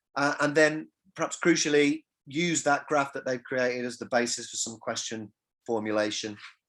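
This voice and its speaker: A man speaks at a moderate pace with a fairly high pitch, ordinary pitch variation, and an English accent. The recording is very clean, with a silent background. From England. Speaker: music industry academic. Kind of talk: lecture. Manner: halting, repeats words.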